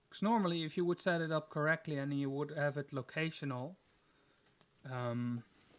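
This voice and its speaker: Here a man with a non-native accent talks at a moderate pace in a fairly high pitch with ordinary pitch variation. The recording is very clean, with a silent background. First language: not English. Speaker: gaming streamer. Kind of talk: live gameplay stream chat. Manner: casual, hesitant with fillers.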